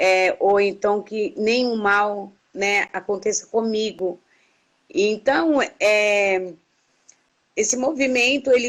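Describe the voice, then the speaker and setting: Speaking very slowly, a woman holds a fairly high pitch at very even loudness. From Brazil. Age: 60s. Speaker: activist. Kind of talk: interview. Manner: halting.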